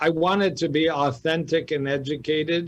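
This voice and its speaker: An American accent comes through an ordinary speaking voice. The pace is moderate and the intonation fairly even. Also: man. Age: 60s. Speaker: cardiologist. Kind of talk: radio interview.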